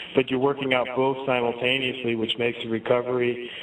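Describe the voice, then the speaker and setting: A man talks in a monotone with flat intonation as noticeable noise sounds behind him. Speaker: guest, scientist and health practitioner. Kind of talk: interview.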